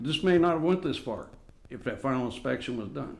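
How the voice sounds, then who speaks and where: Loud and fairly quick, a man's voice moves through very wide pitch swings. Music plays in the background, and the room echo is audible. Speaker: resident addressing city council. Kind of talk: public comment at council meeting. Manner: agitated.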